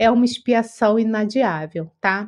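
A woman speaks against a quiet background. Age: 50s. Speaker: spiritist study presenter. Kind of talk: livestream study talk. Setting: live stream.

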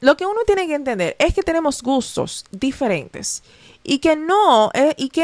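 A woman with a high pitch and lively intonation is heard on a very clean recording with a silent background, dry and close with no echo. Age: 20s. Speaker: podcast host. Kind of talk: casual solo monologue.

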